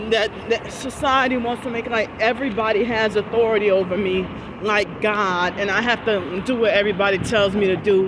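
The speech moves at a fairly quick pace with fairly even intonation, recorded dry with no echo amid noticeable background noise. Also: woman, fairly high pitch for a woman. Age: 40s. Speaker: vlogger. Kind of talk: vlog monologue. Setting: outdoors. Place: street. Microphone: phone near.

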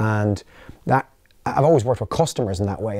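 A man with an Irish accent speaks very fast in a fairly low pitch and a dark, mellow tone, the sound dry with no echo against a quiet background. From Ireland. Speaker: company founder and CEO; interviewee. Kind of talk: interview. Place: studio.

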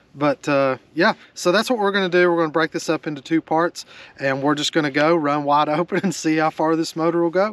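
The man's voice sits at a fairly high pitch with a fairly bright tone. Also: ordinary pitch variation, fairly quick pace.

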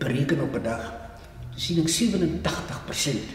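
A man at a very slow pace, with audible room echo. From South Africa, Western Cape (Vredendal). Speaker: retired community elder. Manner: earnest and gently forgiving, praying aloud for a flawed leader; halting, with frequent uh and hmm pauses. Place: home room.

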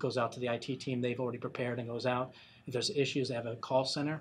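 A man talks at a very fast pace in a monotone, flat intonation. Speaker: industry analyst. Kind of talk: interview. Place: studio.

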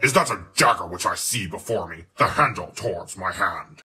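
Raspy and at a medium pitch, a man's voice moves at a moderate pace. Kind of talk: grand stage declamation.

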